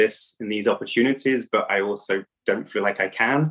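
A man speaks with an English accent. His intonation is fairly even and his pace moderate. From England. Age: 30s. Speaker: coach for men in recovery. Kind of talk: interview.

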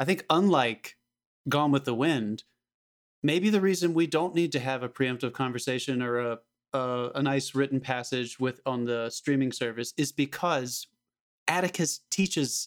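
A man with a plain, everyday voice speaks at a medium pitch and a moderate pace. His pitch variation is ordinary, and the sound is dry and close with no echo. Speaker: podcast host. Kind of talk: casual banter podcast.

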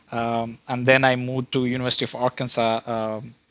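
Noticeable background noise sits behind a man speaking in a flat monotone, his sound dry and close with no echo. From India. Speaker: research scientist. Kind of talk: casual interview. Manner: hesitant, many fillers.

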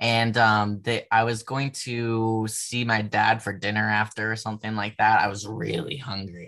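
A man's bright, sharp tone sits at a medium pitch. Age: 20s. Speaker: adult content creator and ceramics graduate. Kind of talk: casual podcast interview.

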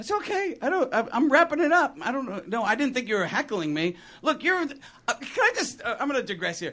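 A man projects a raised voice at an extremely high pitch. His pitch swings very widely at a fairly quick pace. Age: 50s. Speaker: stand-up comedian. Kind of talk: stand-up. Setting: stage with audience.

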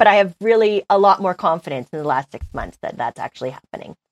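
In a Canadian accent, a woman at medium pitch talks at a fairly quick pace with lively intonation, vocal fry and big swings in loudness, in a dry, close sound with no echo. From British Columbia, Canada. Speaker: business news journalist. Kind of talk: casual interview.

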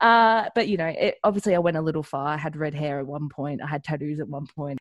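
Very fast speech from a woman with a fairly low pitch, lively intonation and an Australian accent, on a very clean recording with a silent background. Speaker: professional wrestler. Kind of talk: interview.

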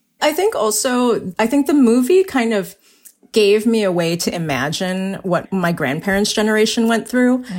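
Delivered at a moderate pace with lively intonation, this is a normal speaking voice. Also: woman, fairly high pitch for a woman, very even loudness. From US, Chinese-American family. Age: 40s. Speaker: novelist. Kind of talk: casual chat.

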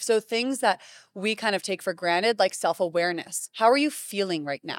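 Recorded very cleanly over a silent background, dry and close with no echo, a woman with an American accent uses a normal speaking voice at a medium pitch, a moderate pace and lively intonation. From US Northeast, Greenwich, Connecticut. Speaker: middle school teacher. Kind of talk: interview. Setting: conference.

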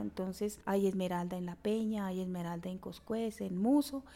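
A woman's dark, mellow tone at a medium pitch, with fairly even intonation and a fairly slow pace. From Colombia, Chiquinquirá, western Boyacá. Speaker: community leader in the emerald sector. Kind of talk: interview.

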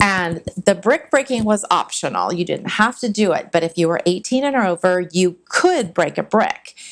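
In a plain, everyday voice with an American accent, a woman speaks at a moderate pace and medium pitch with lively intonation and hardly any pauses. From California. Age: 50s. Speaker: martial arts instructor. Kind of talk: casual chat.

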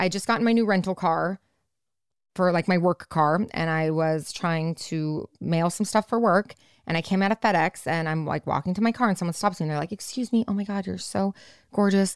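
In a very clean recording with a silent background and a dry, close sound with no echo, a woman with a normal speaking voice talks at a fairly quick pace at medium pitch with ordinary pitch variation. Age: 30s. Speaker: podcast co-host. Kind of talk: casual chat.

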